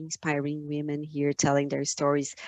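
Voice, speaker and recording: With a Brazilian accent, a woman speaks in a very deep, low pitch. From Brazil, São Paulo state. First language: Portuguese. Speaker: finance entrepreneur, conference speaker. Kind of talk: conference talk. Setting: video call webinar. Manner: halting, many fillers and repeats.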